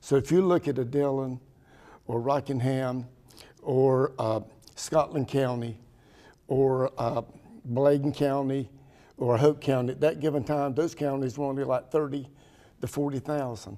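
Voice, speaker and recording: A man with a North Carolina accent speaks slowly at a medium pitch, his tone dark and mellow. His intonation stays fairly even, broken by long, frequent pauses. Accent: southern US, rural North Carolina. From US South, Pembroke, North Carolina. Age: 70s. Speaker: town mayor. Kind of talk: interview.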